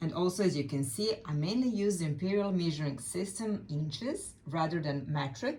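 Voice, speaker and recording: A woman with a Serbian accent, fairly low in pitch, at a moderate pace with hardly any pauses, very wide pitch swings and audible room echo. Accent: Serbian accent, non-native English. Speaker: quilt and fabric designer. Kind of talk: tutorial.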